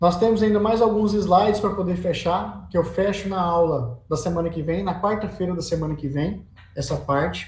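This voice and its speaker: A man talks at a high pitch with lively intonation and a fairly slow pace. Audible room echo fills the space. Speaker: teacher of road engineering. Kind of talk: lecture.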